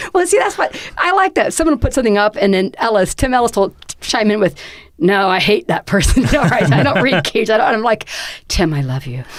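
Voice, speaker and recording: Fairly high in pitch with very wide pitch swings, a woman talks at a fairly quick pace over noticeable background noise. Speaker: podcast host and poet. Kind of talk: casual panel discussion. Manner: loud, shouty; hesitant, many fillers and restarts.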